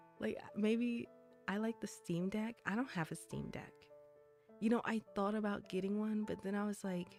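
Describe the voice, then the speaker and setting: Music plays in the background. A woman speaks at medium pitch and a fairly slow pace. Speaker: vtuber. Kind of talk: casual livestream chat. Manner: casual, chatty.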